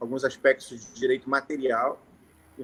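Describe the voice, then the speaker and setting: A man speaks in a bright, sharp tone. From Rio de Janeiro, Brazil. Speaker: notary. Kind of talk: informal talk to lawyers on a live stream. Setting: live stream.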